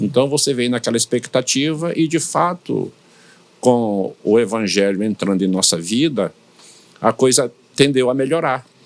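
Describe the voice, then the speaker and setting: This man speaks at a medium pitch, and his intonation is lively. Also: fairly slow pace. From Brazilian Northeast, São Luís, Maranhão. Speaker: pastor. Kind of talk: interview. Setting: studio podcast.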